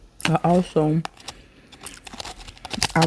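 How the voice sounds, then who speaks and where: A woman speaks very slowly with a very deep, low pitch. Noticeable background noise can be heard. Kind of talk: story time. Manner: casual, chatty.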